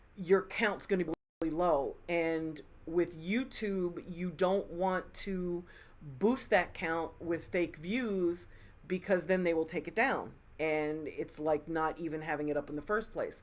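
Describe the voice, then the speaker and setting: With an American accent, a woman speaks at a fairly slow pace in a fairly low pitch. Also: ordinary pitch variation. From Philadelphia, US. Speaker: music industry advisor, live stream host. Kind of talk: live Q&A stream. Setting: live stream. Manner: slow, deliberate.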